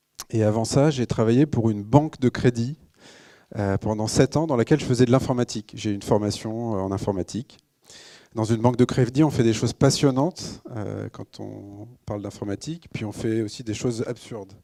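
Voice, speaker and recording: Moderate pace from a man at medium pitch, with a dark, mellow tone, ordinary pitch variation and big swings in loudness, dry and close with no echo on a very clean, silent recording. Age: 30s. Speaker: social entrepreneur, company co-founder. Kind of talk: conference talk. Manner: frequent hesitations (euh).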